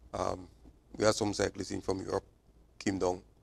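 Intonation is flat and monotone. The speaking pace is moderate. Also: man. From Trinidad and Tobago. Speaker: cycling club president and manager. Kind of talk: TV sports interview. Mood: calm, matter-of-fact. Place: studio. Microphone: lapel.

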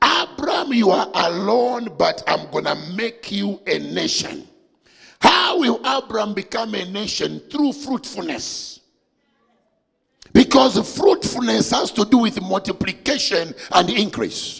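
A man speaks at a fairly slow pace. The background is quiet. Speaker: preacher. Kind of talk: sermon. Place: church. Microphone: handheld.

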